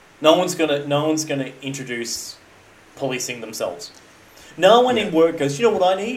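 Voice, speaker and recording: With an Australian accent and fairly high pitch, a man talks at a fairly quick pace with very wide pitch swings over noticeable background noise. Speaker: podcast co-host. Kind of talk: casual chat.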